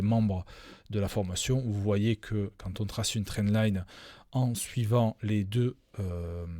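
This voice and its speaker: On a very clean recording with a silent background, a man with a fairly low voice speaks very slowly in fairly even intonation. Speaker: crypto trading educator. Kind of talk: live stream chart analysis. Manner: hesitant, many fillers.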